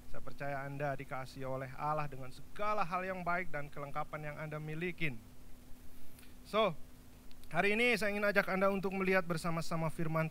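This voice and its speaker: Bright and sharp in tone, a man with a Javanese accent talks at a very fast pace with ordinary pitch variation and audible room echo. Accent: Javanese-accented Indonesian. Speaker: pastor. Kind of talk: sermon. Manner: animated.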